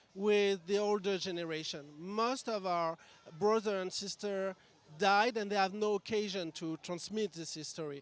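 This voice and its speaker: A man speaks with a French accent at a moderate pace. His pitch is high, with ordinary pitch variation. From France. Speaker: member of a charity sisterhood. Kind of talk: interview.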